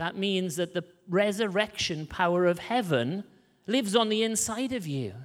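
A man talks at a fairly quick pace with lively intonation. His pitch is high. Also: very clean recording, silent background. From rural Wales. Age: 30s. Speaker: missionary preacher. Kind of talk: sermon. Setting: church. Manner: animated.

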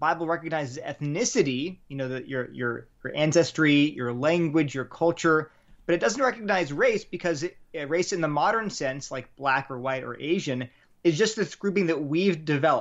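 With an American accent, a man talks in an unremarkable speaking voice at a fairly high pitch, a moderate pace and with ordinary pitch variation. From Delaware, US. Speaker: apologetics writer, former chemistry researcher. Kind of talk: interview on faith and race.

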